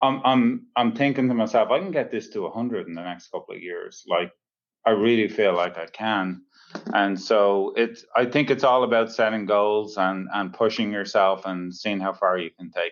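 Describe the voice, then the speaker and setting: With an Irish accent, a man talks at a medium pitch and a moderate pace, showing ordinary pitch variation and big swings in loudness. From Dublin, Ireland. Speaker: plumbing company CEO. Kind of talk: podcast interview answer.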